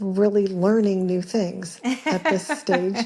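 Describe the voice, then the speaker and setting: A woman's medium-pitched voice has a dark, mellow tone, a somewhat breathy quality and fairly even intonation. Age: 60s. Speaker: caller. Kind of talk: recorded voicemail question. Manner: halting, many fillers.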